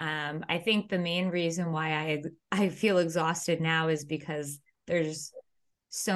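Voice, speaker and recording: This is an unremarkable speaking voice, a woman's, fairly low in pitch and fairly even in intonation. She goes at a fairly slow pace against a quiet background. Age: 30s. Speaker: acupuncturist, podcast co-host. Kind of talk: casual chat.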